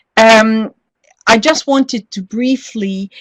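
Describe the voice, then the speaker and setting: Heard in a dry, close sound with no echo, a woman with a Norwegian accent speaks at a medium pitch with ordinary pitch variation. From Norway. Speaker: professor, addiction researcher. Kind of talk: webinar presentation. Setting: online webinar.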